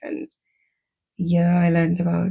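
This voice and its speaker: A woman speaks in a fairly low pitch with a dark, mellow tone. Her voice is somewhat breathy, with fairly even intonation. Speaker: podcaster, former teacher. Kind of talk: personal storytelling.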